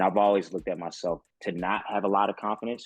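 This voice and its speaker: In an American accent, a man speaks with monotone, flat intonation in a dry, close sound with no echo. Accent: Southern US, once strong, reduced. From Mississippi, US South. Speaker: sports broadcaster and producer. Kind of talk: casual chat.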